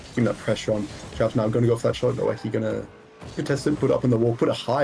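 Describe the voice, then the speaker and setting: A man talks with an American accent. Noticeable background noise is present. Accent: sounds American. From Israel. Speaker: esports caster. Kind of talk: live commentary.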